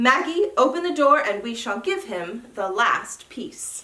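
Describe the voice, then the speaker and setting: A woman puts on a loud, gruff, growling character voice at high pitch. She goes at a fairly slow pace with very wide pitch swings. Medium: read story. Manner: gruff, loud.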